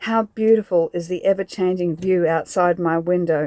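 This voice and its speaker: In an Australian accent, a woman with a fairly low pitch talks at a moderate pace and fairly even intonation, in a dry, close sound with no echo. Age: 50s. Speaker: van-life vlogger. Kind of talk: reflective vlog narration.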